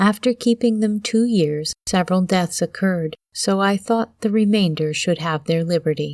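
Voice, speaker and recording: Against a quiet background, a soft-spoken woman talks with ordinary pitch variation. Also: dry, close sound with no echo. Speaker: audiobook narrator. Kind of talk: reading aloud. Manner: slow.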